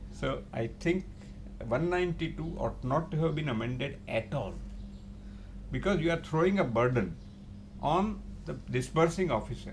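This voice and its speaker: Lively intonation with vocal fry, a moderate pace and long, frequent pauses, in audible room echo. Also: man, fairly high pitch for a man. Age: 80s+. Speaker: chartered accountant and tax expert. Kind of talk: interview.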